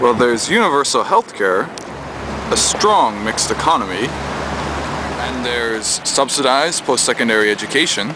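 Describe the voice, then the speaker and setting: Against noticeable background noise, a man talks at a medium pitch with lively intonation. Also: moderate pace. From Newfoundland, Canada. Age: 20s. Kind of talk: policy pitch narration.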